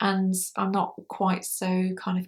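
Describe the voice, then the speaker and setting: A woman speaks at medium pitch, somewhat breathy. The recording is very clean, with a silent background. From UK, Scottish parents. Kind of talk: vlog monologue. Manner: slow; clear enunciation.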